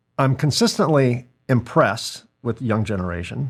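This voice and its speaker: A man at medium pitch, somewhat breathy, with lively intonation and a moderate pace, on a very clean recording with a silent background. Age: 60s. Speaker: podcast host and business owner. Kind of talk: casual interview chat.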